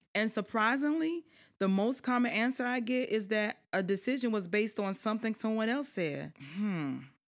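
On a very clean recording with a silent background, a woman talks with a Southern US accent. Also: moderate pace. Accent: Southern US, noticeable twang. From South Carolina lowlands. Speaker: podcast host, life strategist and government official. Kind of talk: podcast introduction, casual address to audience. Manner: animated, warm, chatty.

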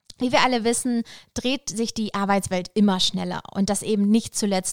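In an ordinary speaking voice, a woman talks at a medium pitch and moderate pace, with ordinary pitch variation and a dry, close sound with no echo. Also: very clean recording, silent background. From Lower Saxony, northern Germany. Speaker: podcast host. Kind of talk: podcast intro monologue.

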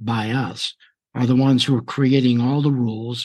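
A man with a normal speaking voice talks at a moderate pace, his medium pitch rising and falling in an ordinary way against a quiet background. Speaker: radio host. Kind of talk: interview.

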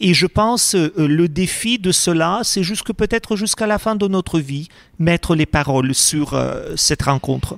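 A man with a Russian accent and a high pitch speaks at a fairly slow pace with ordinary pitch variation. His loudness stays very even in a dry, close recording with no echo. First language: Russian (speaking French). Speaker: priest. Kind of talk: interview.

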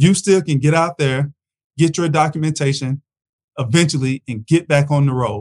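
A man's fairly high-pitched, somewhat breathy voice at a moderate pace. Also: dry, close sound with no echo. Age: 40s. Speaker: freight broker and podcast host. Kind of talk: solo commentary podcast.

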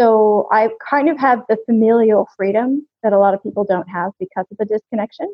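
An ordinary speaking voice from a woman with an American accent, fairly high in pitch, ordinary pitch variation, a fairly quick pace and hardly any pauses. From US, California. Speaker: serial expat, English teacher. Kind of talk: casual interview.

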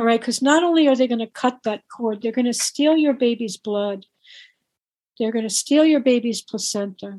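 A woman's high-pitched voice with a dark, mellow tone, ordinary pitch variation, a moderate pace and a dry, close sound with no echo. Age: 60s. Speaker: author and activist on birth trauma. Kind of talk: interview.

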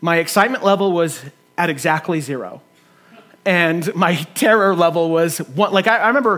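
This man has a high pitch. He talks at a moderate pace with ordinary pitch variation. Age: 30s. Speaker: pastor. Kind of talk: sermon.

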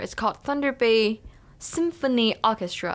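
Speaking with a Chinese accent, a woman with a fairly high voice keeps a moderate pace in a very clean recording with a silent background. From China. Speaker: education student. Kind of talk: casual interview.

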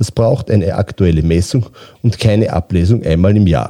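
Dry and close with no echo, a man's dark, mellow voice sits fairly low in pitch, moving at a fairly slow pace with ordinary pitch variation. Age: 50s. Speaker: utility company managing director. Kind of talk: interview. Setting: studio.

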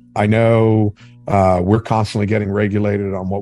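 A man with a fairly low pitch talks at a moderate pace. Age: 50s. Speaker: fishing entrepreneur. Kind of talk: interview. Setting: remote call. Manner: loud.

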